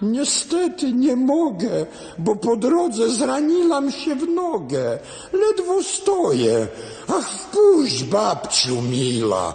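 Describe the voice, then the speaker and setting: Putting on a character voice, a man speaks at a very slow pace, sounding hoarse and nasal. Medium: audio drama. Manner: sly, deceitful.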